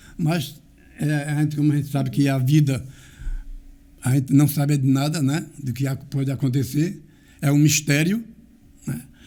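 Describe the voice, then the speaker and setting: With a dark, mellow tone and a somewhat breathy quality, a man speaks at a moderate pace in a fairly high voice, using fairly even intonation and long, frequent pauses. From Brazil, Garanhuns, Pernambuco (Northeast). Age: 80s+. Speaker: local community elder and author. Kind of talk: interview, life story telling.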